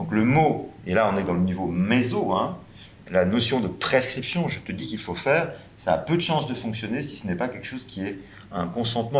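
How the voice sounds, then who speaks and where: Audible room echo surrounds the voice. The intonation is lively and the pace moderate. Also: man. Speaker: round table panelist, health professional. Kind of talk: panel discussion. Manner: hesitant, many fillers.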